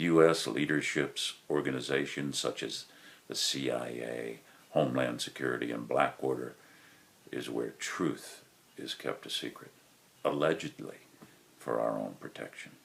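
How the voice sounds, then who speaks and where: A man with an American accent speaks at a very deep, low pitch with vocal fry. His intonation stays fairly even, broken by long, frequent pauses. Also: moderate pace. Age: 60s. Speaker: war veteran. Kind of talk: prepared monologue. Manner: formal.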